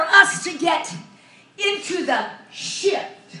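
A woman's raised, projected voice, extremely high-pitched and animated, with audible room echo and light background noise. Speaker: preacher. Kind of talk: sermon. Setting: church. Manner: loud. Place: church.

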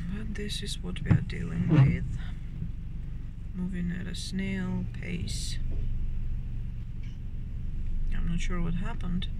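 A fairly slow pace against loud background noise. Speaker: vlogger driving. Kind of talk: casual vlog chat. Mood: mildly frustrated. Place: car. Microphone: phone near.

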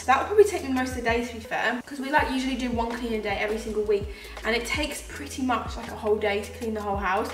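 Audible room echo alongside light background noise. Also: woman. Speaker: vlogger. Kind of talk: casual vlog chat. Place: kitchen. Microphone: camera far.

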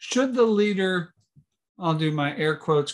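Against a quiet background, a man talks at a high pitch. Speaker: church official; webinar host or presenter. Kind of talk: workshop hosting. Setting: video call. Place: home room. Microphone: video call.

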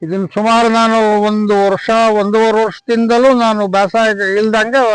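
A man's high-pitched voice in a dry, close sound with no echo. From Chitradurga district, Karnataka (Hiriyur taluk). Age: 70s. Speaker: farmer. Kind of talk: on-site interview testimony.

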